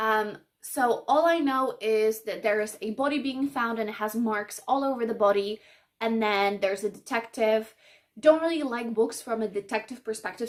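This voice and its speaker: A woman with a Polish accent, at a moderate pace and with ordinary pitch variation. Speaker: book vlogger. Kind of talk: casual vlog talk. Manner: casual, with many fillers.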